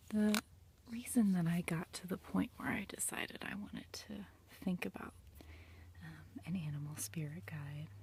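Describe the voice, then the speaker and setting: Soft-spoken, fairly slow speech with long, frequent pauses. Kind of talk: ASMR tarot reading. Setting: indoors, attic room.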